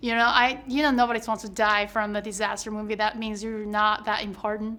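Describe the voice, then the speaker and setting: A woman with a Chinese accent, fairly high pitch, fairly quick pace and monotone, flat intonation. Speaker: actor. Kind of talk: press interview.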